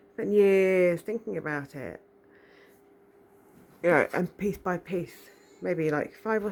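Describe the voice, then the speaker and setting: A soft-spoken woman talks at a fairly low pitch. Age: 40s. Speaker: spiritual vlogger. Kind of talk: casual monologue. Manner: animated.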